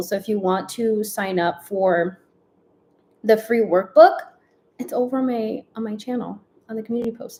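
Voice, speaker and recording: Fairly high and somewhat breathy, a woman's voice has a dark, mellow tone and ordinary pitch variation. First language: Spanish. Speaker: lifestyle and productivity vlogger. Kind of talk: casual livestream chat. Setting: livestream at home.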